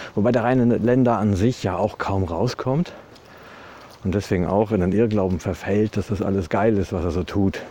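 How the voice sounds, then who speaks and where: This man has a dark, mellow tone and a fairly low pitch, speaking at a moderate pace with ordinary pitch variation. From Westphalia, Germany (Ibbenbüren). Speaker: podcaster. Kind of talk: casual monologue. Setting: outdoors, walking.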